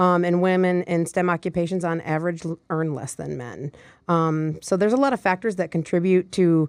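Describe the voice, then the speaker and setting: On a very clean recording with a silent background, a woman speaks at a fairly low pitch. She has a slight Michigan accent and a moderate pace. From Michigan, US. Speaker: nonprofit vice president. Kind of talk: interview.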